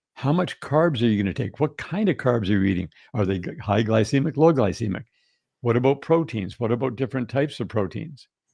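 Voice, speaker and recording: With a Canadian accent, a man speaks at a fairly quick pace in a medium pitch with lively intonation. His tone is dark and mellow, and the background is quiet. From Canada. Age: 60s. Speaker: health and wellness guest. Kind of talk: podcast interview.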